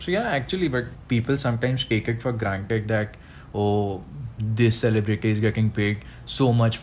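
A man at a medium pitch and moderate pace, somewhat breathy, with very even loudness and ordinary pitch variation. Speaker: podcast co-host. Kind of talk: casual chat.

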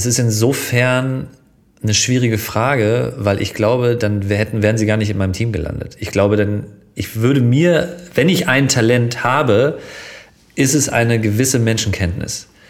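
Audible room echo surrounds a man's medium-pitched voice. He speaks at a moderate pace with ordinary pitch variation. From northern Germany, Schleswig-Holstein near Hamburg. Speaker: TV presenter. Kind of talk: casual chat. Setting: in a living room.

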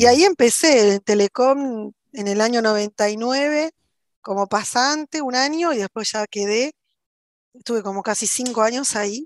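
A woman with an ordinary speaking voice talks at a fairly slow pace with a fairly high pitch and ordinary pitch variation. The sound is dry and close, with no echo. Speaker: cybersecurity professional and instructor. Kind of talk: interview.

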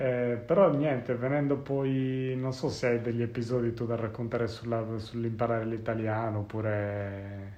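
Using a normal speaking voice, a man talks at a moderate pace with hardly any pauses, keeping his medium pitch in fairly even intonation. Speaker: podcast host. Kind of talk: casual chat.

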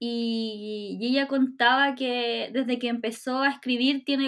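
The speaker uses a flat, monotone intonation in a Chilean accent. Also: woman. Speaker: podcast co-host. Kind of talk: casual chat.

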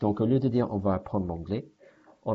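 A man with an English accent speaks at a fairly low pitch. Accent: English-speaking accent in French. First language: English (speaking French). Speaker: language training manager. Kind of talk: interview. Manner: halting, with frequent repetitions.

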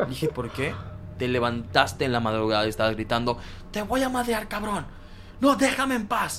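Animated tone at a moderate pace over noticeable background noise. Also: man. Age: 20s. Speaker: content creator and comedian. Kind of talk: casual chat.

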